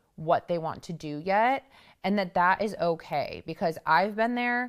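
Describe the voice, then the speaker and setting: In a very clean recording with a silent background, a woman with a plain, everyday voice speaks at a fairly slow pace with ordinary pitch variation. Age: 30s. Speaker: podcast host. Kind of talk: solo talk to listeners.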